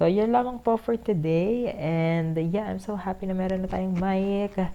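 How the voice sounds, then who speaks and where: Her intonation is lively as this woman speaks at a fairly slow pace. Background noise is noticeable. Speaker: vlogger. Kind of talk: casual vlog talk. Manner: speaking louder than usual. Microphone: new cheap lapel mic being tested.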